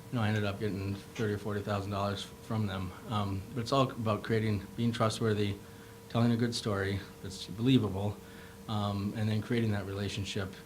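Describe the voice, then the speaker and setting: A man with an Upper Midwest accent speaks at a fairly quick pace in a fairly low pitch. Audible room echo and noticeable background noise surround his voice. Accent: Upper Midwest American. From Minnesota, Rochester. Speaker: medical device founder, entrepreneur. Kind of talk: panel discussion. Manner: fast; animated.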